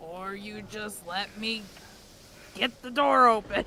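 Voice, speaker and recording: The speaker uses a put-on character voice at a fairly high pitch. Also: fairly slow pace. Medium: actual play. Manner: blunt.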